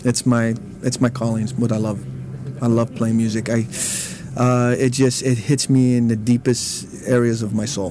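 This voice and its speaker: Speaking with an American accent, a man uses a medium pitch and a monotone, flat intonation over noticeable background noise. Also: moderate pace. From East Los Angeles. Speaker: percussionist. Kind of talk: interview.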